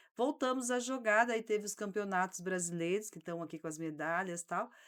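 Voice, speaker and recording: A woman with a plain, everyday voice speaks at a fairly quick pace, her medium pitch showing ordinary variation. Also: very clean recording, silent background. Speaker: social worker and handball athlete. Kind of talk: casual interview.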